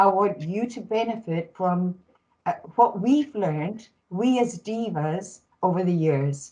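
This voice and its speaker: The voice is somewhat breathy, with a dark, mellow tone. It moves at a fairly slow pace with lively intonation. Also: woman, medium pitch for a woman. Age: 70s. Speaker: panelist, data management professional. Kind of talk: panel discussion.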